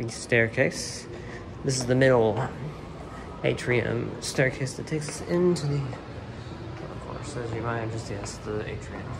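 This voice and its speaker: Noticeable background noise surrounds a man speaking at a fairly slow pace. His pitch is medium with ordinary variation. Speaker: travel and railfan vlogger. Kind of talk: walking tour vlog narration. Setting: walking through a museum, handheld recording. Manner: halting, with many fillers.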